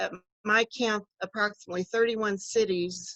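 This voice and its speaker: A woman's ordinary speaking voice, fairly high in pitch, with fairly even intonation at a moderate pace, in a dry, close sound with no echo. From US Midwest, Kansas City area. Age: 60s. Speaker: political candidate, retired social worker. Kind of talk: campaign speech.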